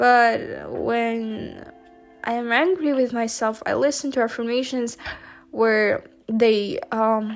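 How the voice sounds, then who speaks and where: At a very slow pace, a woman with a non-native accent speaks with ordinary pitch variation while music plays in the background. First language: not English. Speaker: university student. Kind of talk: casual talk to camera.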